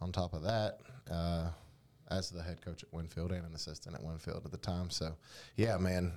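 On a very clean recording with a silent background, a man with a very deep, low voice and an American accent speaks in a fairly even tone, pausing long and often. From North Carolina. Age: 30s. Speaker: podcast co-host and academic coach. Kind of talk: casual sports chat. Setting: studio.

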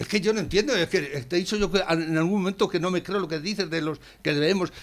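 This man has a high voice and lively intonation. He talks at a fairly quick pace. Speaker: radio host. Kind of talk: casual chat.

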